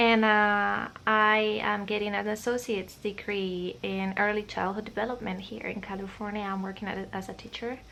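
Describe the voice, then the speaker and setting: At a moderate pace with hardly any pauses, a woman of medium pitch speaks in a Spanish accent, her tone bright and sharp and her intonation monotone and flat. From Spain, Madrid region. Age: 20s. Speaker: vlogger. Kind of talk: casual chat. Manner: hesitant, many fillers.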